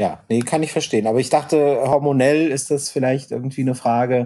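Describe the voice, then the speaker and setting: In a very clean recording with a silent background, a man speaks at a moderate pace in a dark, mellow tone. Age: 40s. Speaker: podcast co-host. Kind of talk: casual chat.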